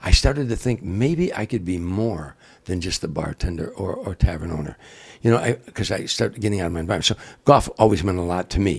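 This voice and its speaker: Somewhat breathy and very deep, a man's voice with an American accent races along at a very fast pace. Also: ordinary pitch variation. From Chicago area, US Midwest. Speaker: comedian. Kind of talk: casual interview storytelling. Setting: in the guest's home. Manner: animated, repetitive false starts.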